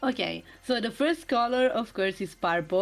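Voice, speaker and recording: A woman speaks in a non-native accent at a fairly slow pace. Her pitch varies in an ordinary way. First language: not English. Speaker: streamer guest presenting slides. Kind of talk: slide presentation on stream.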